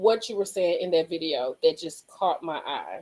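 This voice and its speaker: With very wide pitch swings, a woman speaks in an animated tone. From Mississippi. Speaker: reality TV review livestreamer. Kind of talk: casual livestream chat.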